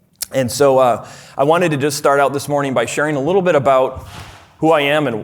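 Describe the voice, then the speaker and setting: This man has a medium pitch. His pace is moderate. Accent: Minnesotan. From US Midwest, rural southern Minnesota. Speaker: speaker at a fatherhood conference, farmer and former software developer. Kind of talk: conference talk. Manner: hesitant, many fillers and restarts.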